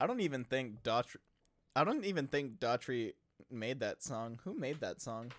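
Here a man talks in a normal speaking voice at medium pitch. His intonation is lively. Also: moderate pace. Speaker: podcast co-host. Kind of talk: casual banter podcast. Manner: joking, playful, chatty.

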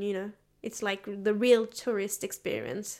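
A woman speaks at a moderate pace with a French accent and medium pitch. The recording is very clean, with a silent background. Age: 20s. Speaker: university student. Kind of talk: casual interview.

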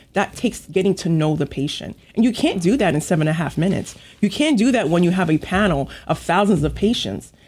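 A woman with an American accent speaks at a very fast pace in a fairly low pitch, sounding somewhat breathy. Her intonation is lively and her loudness stays very even. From Long Island, New York. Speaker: physician, regional medical director. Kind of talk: radio interview.

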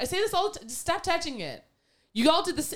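Lively intonation and an animated tone carry a woman's voice on a very clean recording with a silent background. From Canada. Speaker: podcast co-host. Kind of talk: casual chat.

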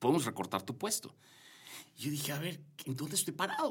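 Very wide pitch swings mark this man's fairly high voice. He talks at a moderate pace. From Yucatán, Mexico. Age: 40s. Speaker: corporate director. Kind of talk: interview conversation. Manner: halting, many fillers and repetitions.

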